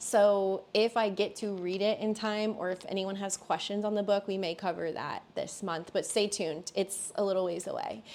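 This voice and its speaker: On a very clean recording with a silent background, a woman with an ordinary speaking voice talks at a moderate pace and medium pitch with hardly any pauses. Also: fairly even intonation. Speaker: tarot reader and medium. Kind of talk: tarot reading monologue; announcements. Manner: casual.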